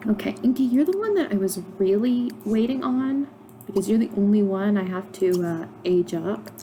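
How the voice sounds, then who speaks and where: Amid noticeable background noise, the speaker talks at a fairly slow pace with ordinary pitch variation. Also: woman. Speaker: gaming YouTuber. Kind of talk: gameplay commentary. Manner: casual, with fillers.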